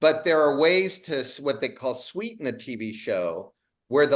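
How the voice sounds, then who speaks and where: An American-accented man speaks at a moderate pace with lively intonation in an unremarkable speaking voice. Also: quiet background. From Ohio, US Midwest. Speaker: TV comedy writer and producer. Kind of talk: casual chat.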